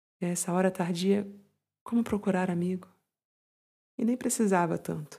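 On a very clean recording with a silent background, a woman with a Brazilian accent speaks at medium pitch in a warm, soothing, dark, mellow tone that is somewhat breathy. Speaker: podcast host and poem reader. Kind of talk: poetry reading aloud, intimate and contemplative, in a hushed bedtime-tea tone. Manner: slow, soft-spoken, measured, with lingering pauses and tender, melancholic emphasis; warm, soothing and confiding, like a calming companion.

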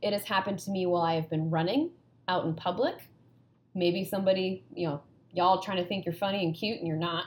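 A woman talks at a very fast pace with an American accent. Her intonation stays fairly even. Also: medium pitch for a woman. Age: 30s. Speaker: NGO knowledge management advisor. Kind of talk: casual chat.

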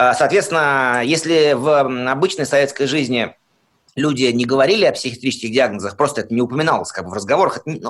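Speech at a fairly quick pace comes through on a very clean recording with a silent background. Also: man. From Soviet Union. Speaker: interviewee with psychiatric diagnoses. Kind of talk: interview testimony. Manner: halting, with self-repetitions.

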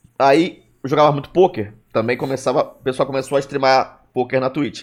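A man speaks at a medium pitch in a normal speaking voice. His pace is moderate. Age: 30s. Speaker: streamer and stand-up comedian. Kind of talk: casual chat.

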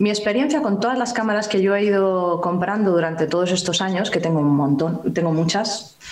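Audible room echo surrounds this recording. A woman speaks at a medium pitch and a moderate pace. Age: 40s. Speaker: analog photographer and YouTuber. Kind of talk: casual interview.

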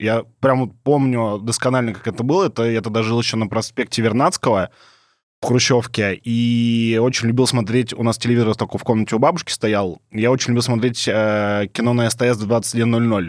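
In a very clean recording with a silent background, a man uses an ordinary speaking voice at a medium pitch, a moderate pace and fairly even intonation. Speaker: podcast host. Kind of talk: casual banter.

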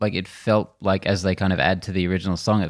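A man's very deep, low voice at a very fast pace with fairly even intonation, on a very clean recording with a silent background. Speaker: podcast co-host, movie reviewer. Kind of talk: casual chat, movie review. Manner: blunt, profane.

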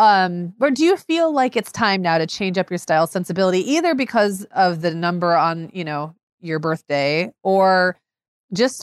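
A normal speaking voice with lively intonation, sounding dry and close with no echo. The recording is very clean, with a silent background. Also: woman. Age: 40s. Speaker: podcast co-host, mother. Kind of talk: casual chat.

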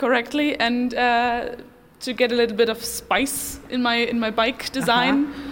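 Noticeable background noise surrounds a voice with a German accent and monotone, flat intonation. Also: woman, high pitch for a woman, moderate pace. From Germany, Dortmund. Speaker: interview guest. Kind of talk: casual interview. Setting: outdoors at night. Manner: halting.

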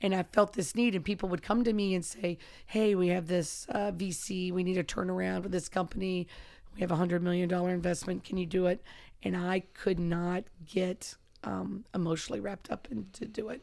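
A woman with a plain, everyday voice speaks at a medium pitch and a fairly quick pace with fairly even intonation, in a very clean recording with a silent background. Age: 50s. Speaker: wrestling and MMA coach. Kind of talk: casual chat.

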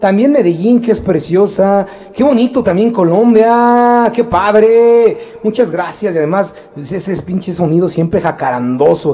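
Over noticeable background noise, a man talks at a high pitch with lively intonation. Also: fairly slow pace. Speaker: radio producer and co-host. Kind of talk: casual radio chat.

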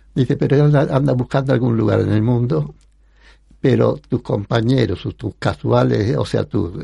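Speaking at a fairly slow pace, a man with a fairly low pitch uses lively intonation, and his dark, mellow tone carries vocal fry. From Spanish Morocco. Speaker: photographer. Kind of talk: interview, life story. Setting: radio studio.

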